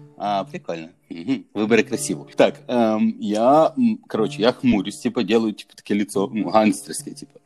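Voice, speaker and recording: Lively intonation at a moderate pace, big swings in loudness, and music in the background. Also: man, medium pitch for a man. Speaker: barber. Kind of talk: casual chat. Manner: casual, filler-heavy.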